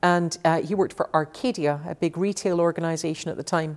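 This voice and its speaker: This is a woman speaking. She has a Scottish accent. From Scotland, Glasgow. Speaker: technology executive. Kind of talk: interview. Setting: office.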